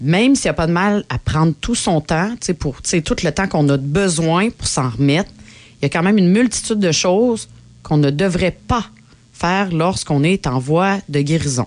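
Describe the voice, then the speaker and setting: Speaking at a moderate pace with a Quebec accent, a woman sounds animated, her fairly low pitch carrying lively intonation at very even loudness. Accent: Québécois French. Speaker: podcast co-host. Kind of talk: casual chat.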